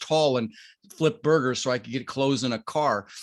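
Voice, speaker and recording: A man with a fairly high pitch, fairly even intonation and an ordinary speaking voice. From Colorado, US. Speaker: real estate investor. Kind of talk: podcast interview.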